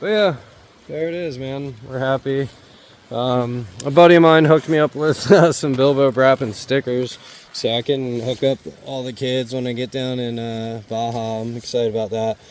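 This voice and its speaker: A man talks at a moderate pace and medium pitch with ordinary pitch variation. His loudness swings widely, and there is noticeable background noise. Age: 40s. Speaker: motorcycle travel vlogger. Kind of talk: casual vlog talk. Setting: outdoors. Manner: casual, filler-heavy.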